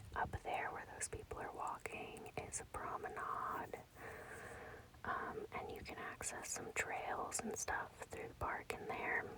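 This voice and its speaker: A woman whispering at a fairly slow pace. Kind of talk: ASMR walking tour, casual talk to camera. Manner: whispered, soft.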